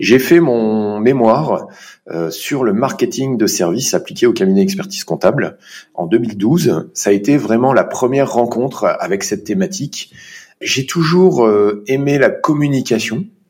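A man talks fairly slowly. Very wide swings run through his pitch. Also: medium pitch for a man. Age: 40s. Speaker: chartered accountant. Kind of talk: interview.

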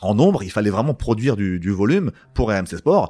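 A man talks with a fairly low pitch. His pace is fairly quick and his intonation lively. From Val-d'Oise, France. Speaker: former sports journalist, boxing entrepreneur. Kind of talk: interview conversation. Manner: halting, many repetitions.

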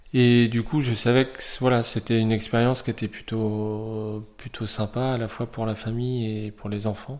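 A man talks at a medium pitch in a flat monotone. His pace is moderate, with hardly any pauses. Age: 40s. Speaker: volunteer host parent. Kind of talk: interview.

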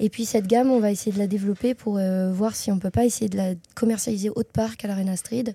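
A somewhat breathy woman's voice of medium pitch, dark and mellow in tone, with fairly even intonation and a dry, close sound with no echo in a very clean recording with a silent background. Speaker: graphic designer and marketer. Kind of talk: interview. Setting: chocolate shop.

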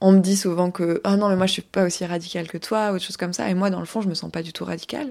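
A woman speaks at a medium pitch with fairly even intonation and hardly any pauses. The recording is very clean, with a silent background. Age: 30s. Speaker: podcast host and life coach. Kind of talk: solo podcast monologue. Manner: casual, with hesitations.

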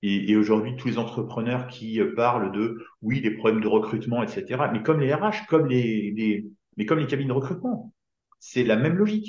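Somewhat breathy male voice at medium pitch, moderate pace and ordinary pitch variation, with audible room echo. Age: 50s. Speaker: business coach. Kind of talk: casual chat.

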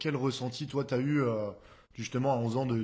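Against a quiet background, a man speaks in a monotone, flat way. His voice is somewhat breathy. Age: 20s. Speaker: podcast host and DJ. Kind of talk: casual interview.

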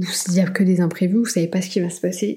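A woman speaks at a fairly quick pace and medium pitch. Her tone is dark and mellow, and somewhat breathy. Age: 30s. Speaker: podcast host. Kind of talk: solo advice monologue. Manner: animated.

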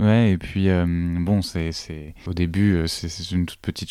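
On a very clean recording with a silent background, a man's very deep, low voice carries a dark, mellow tone and fairly even intonation. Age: 30s. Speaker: teacher. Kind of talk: interview testimony.

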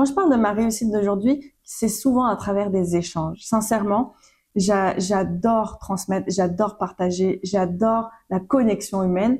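Breathiness runs somewhat through this woman's medium-pitched voice. She talks at a fairly slow pace with very even loudness. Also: ordinary pitch variation. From Réunion Island. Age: 20s. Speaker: podcast host. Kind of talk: casual monologue. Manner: animated.

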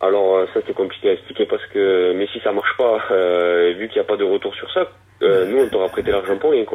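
A man talks at a fairly quick pace with a southwestern French accent. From southwest France. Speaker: woodworker and bicycle frame builder. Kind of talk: interview. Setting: phone call.

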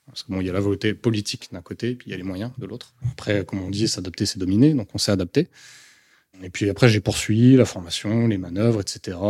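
The speech runs at a very fast pace on a very clean recording with a silent background and a dry, close sound with no echo. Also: man, fairly low pitch for a man. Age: 30s. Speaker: soldier on sick leave with combat trauma. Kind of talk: testimony.

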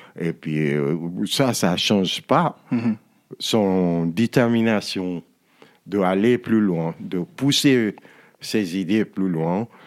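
The recording is very clean, with a silent background. A man with a fairly low pitch and ordinary pitch variation talks at a very slow pace with long, frequent pauses. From Nigeria. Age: 60s. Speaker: musician and author. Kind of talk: interview. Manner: halting.

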